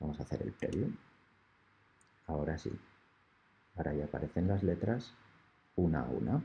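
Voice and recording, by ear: Extremely low for a man, this man's voice makes big pitch swings and carries vocal fry and a husky, rough edge. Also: moderate pace.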